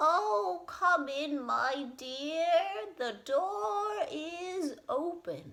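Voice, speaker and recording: In a put-on character voice, the speech moves at a very slow pace with hardly any pauses. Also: female-sounding voice, high pitch for a woman. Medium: read story.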